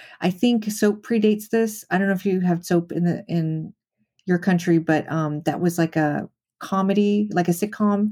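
A woman with an American accent and a dark, mellow tone speaks at medium pitch and a moderate pace, with fairly even intonation and very even loudness. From Las Vegas, US. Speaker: film writer. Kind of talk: casual chat. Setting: remote call.

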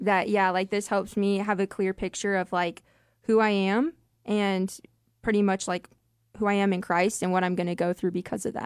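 The speaker uses a monotone, flat intonation at a moderate pace, in a dry, close sound with no echo on a very clean recording with a silent background. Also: woman, medium pitch for a woman. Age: 20s. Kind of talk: Bible study discussion, scripture reading. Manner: casual, uses 'like'.

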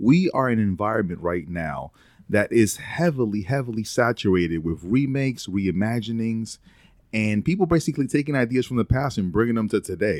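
A man's unremarkable speaking voice at medium pitch, with lively intonation and a fairly quick pace, on a very clean recording with a silent background. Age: 30s. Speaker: internet personality guest. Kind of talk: casual chat.

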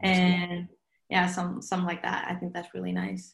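At a fairly slow pace, a woman speaks in a Norwegian accent at a medium pitch. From Norway. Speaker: pop singer. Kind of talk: casual interview. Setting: remote call from home.

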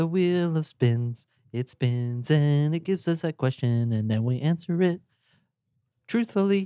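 His tone is dark and mellow. The man keeps to a fairly slow pace. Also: fairly high pitch for a man, lively intonation, dry, close sound with no echo. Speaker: podcast co-host. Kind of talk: casual chat.

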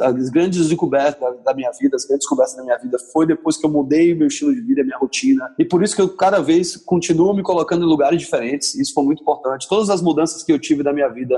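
Very fast talk from a man, fairly high in pitch, with ordinary pitch variation. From southern Brazil, Porto Alegre. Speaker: entrepreneur. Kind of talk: interview.

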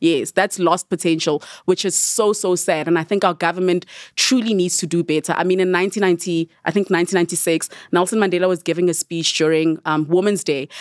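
A woman talks at a very fast pace. Her loudness stays very even and her intonation fairly even. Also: fairly low pitch for a woman, dry, close sound with no echo. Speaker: attorney and content creator. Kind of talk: casual chat.

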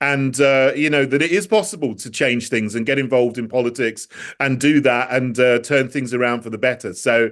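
A man with a British accent at medium pitch, fairly quick in pace, with ordinary pitch variation. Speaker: politician. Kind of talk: interview.

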